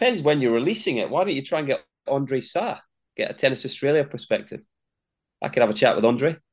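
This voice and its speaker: In a Scottish accent, a man talks at a very fast pace with a fairly high pitch and lively intonation. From Scotland, Linlithgow. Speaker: tennis commentator and former player. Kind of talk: interview. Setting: in Melbourne, Australia.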